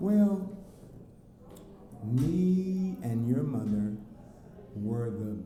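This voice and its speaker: Noticeable background noise and audible room echo surround a man speaking at medium pitch with an American accent and very wide pitch swings. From US Southwest, South Phoenix, Arizona. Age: 50s. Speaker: father of the channel owner. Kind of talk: casual interview. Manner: halting, with many fillers.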